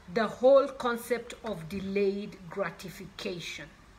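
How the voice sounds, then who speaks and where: Audible room echo surrounds a woman's voice. She speaks at a very slow pace with ordinary pitch variation. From Kenya. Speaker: author. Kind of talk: motivational talk.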